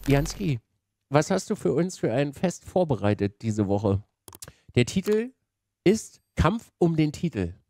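Dark and mellow in tone, a man speaks at a fairly slow pace, the sound dry with no echo. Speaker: streamer commentator. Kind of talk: casual stream commentary. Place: home room. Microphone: headset.

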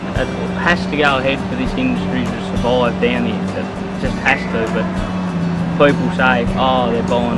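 Over loud background music, a man's voice comes through dry, with no echo. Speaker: forestry worker, excavator operator. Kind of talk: interview answer. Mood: earnest, opinionated. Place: forest.

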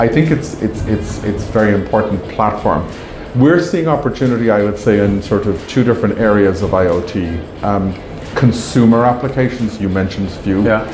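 With noticeable background noise, a man speaks at a moderate pace in a fairly low pitch with ordinary pitch variation. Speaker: company marketing executive. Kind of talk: interview answer. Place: hall. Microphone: lapel.

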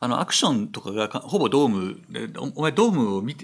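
A man at a very fast pace, his pitch swinging very widely. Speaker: film critic and translator; film critic co-host. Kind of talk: casual chat. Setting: live stream. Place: studio. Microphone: studio mic.

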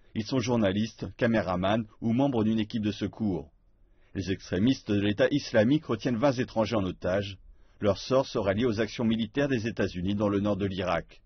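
A man speaks at a moderate pace with a fairly low pitch. His voice is somewhat breathy, with ordinary pitch variation. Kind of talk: TV news read.

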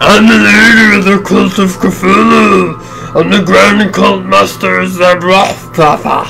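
A man uses a put-on character voice at a fairly slow pace. Loud music plays in the background. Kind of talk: gameplay commentary, reading game dialogue aloud. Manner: dramatic.

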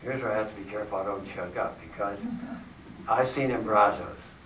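A man with an American accent talks at a fairly quick pace and a fairly low pitch. Noticeable background noise and audible room echo accompany him. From Pennsylvania. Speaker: retired geography professor. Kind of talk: talk with personal travel stories. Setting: church hall with audience. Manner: halting.

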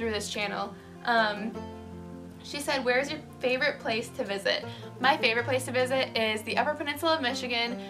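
A high-pitched woman with an American accent at a fairly quick pace, with clear music in the background. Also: ordinary pitch variation. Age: 20s. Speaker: vlogger. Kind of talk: casual talk to camera. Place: home room. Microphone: phone near.

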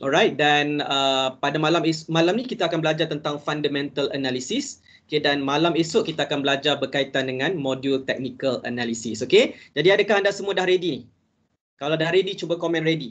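Pitch variation here is ordinary. The pace is fairly quick. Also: man, fairly high pitch for a man. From Malaysia. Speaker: stock investment trainer. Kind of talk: webinar lecture. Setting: video call. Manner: casual, code-switches to English. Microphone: video call.

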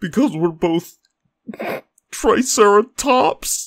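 In a cartoonish character voice, the speaker goes at a very slow pace with a fairly high pitch. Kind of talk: comedic short cartoon dialogue.

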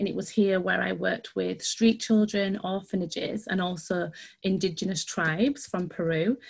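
A woman's medium-pitched voice with vocal fry and ordinary pitch variation, at a moderate pace against a quiet background. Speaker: dance outreach manager. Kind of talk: online workshop presentation. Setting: video call. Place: home room. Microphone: video call.

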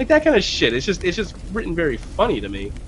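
With noticeable background noise behind him, a man talks at a very fast pace. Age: 30s. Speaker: gaming show co-host. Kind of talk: casual chat.

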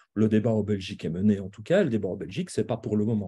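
The man speaks in a dark, mellow tone with a somewhat breathy quality. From Belgium. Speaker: university professor and assessment specialist. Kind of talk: lecture. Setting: video call. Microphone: video call.

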